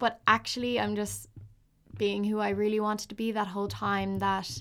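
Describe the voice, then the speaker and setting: A woman with a Dublin accent at a moderate pace, on a very clean recording with a silent background. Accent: Irish (Dublin). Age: 20s. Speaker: podcaster. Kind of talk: solo monologue. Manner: hesitant, many fillers.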